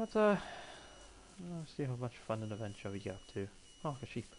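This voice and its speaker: Somewhat breathy, a man with a Welsh accent talks at a fairly quick pace. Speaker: gamer. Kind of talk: gameplay commentary. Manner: casual.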